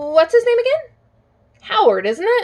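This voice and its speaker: A woman mumbles in a squeaky, put-on character voice at an extremely high pitch, swinging very widely in pitch at a moderate pace. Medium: read story. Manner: hesitant, mumbling.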